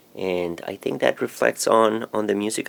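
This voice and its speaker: The speaker is a man with a Spanish accent. He talks at a fairly slow pace. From Colombia (Bogota). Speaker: musician and DJ. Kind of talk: radio interview.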